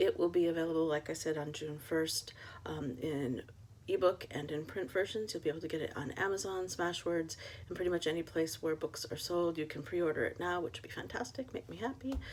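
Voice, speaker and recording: A woman's normal speaking voice, fairly low in pitch, at a fairly quick pace with ordinary pitch variation. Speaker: author. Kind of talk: reading aloud; casual chat.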